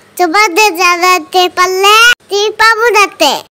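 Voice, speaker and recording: A female-sounding cartoonish character voice comes through at an extremely high pitch. It is squeaky. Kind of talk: comic cartoon voice acting. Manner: earnest, naive, boastful.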